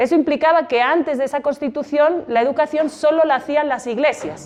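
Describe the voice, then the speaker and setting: A woman with a Spanish accent talks at a fairly quick pace with ordinary pitch variation. Noticeable background noise is present. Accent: Spanish (Spain). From Spain. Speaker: exhibition guide. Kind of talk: guided exhibition talk to students. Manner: conversational, many rhetorical questions.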